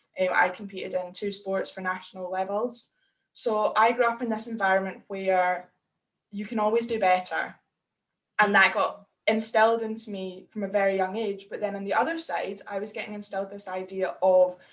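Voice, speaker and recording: With a Scottish accent, the speaker talks at a moderate pace with fairly even intonation. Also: woman, medium pitch for a woman. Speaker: women's confidence coach. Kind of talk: casual interview.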